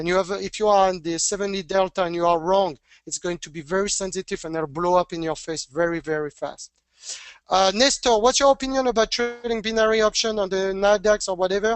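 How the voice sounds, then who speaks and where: A man speaks at a fairly quick pace with a French accent, his pitch high and its variation ordinary. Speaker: trading educator. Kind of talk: webinar Q&A. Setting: online webinar. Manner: halting.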